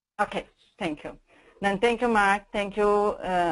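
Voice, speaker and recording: Ordinary pitch variation with a Brazilian Portuguese accent, against a quiet background. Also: woman. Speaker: corporate sustainability manager. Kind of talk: webinar presentation. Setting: online webinar. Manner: some hesitations.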